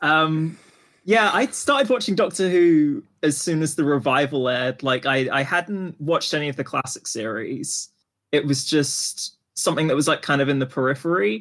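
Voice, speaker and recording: A man with a fairly high pitch and an ordinary speaking voice talks at a moderate pace with ordinary pitch variation against a quiet background. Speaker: podcast co-host. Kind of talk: casual chat.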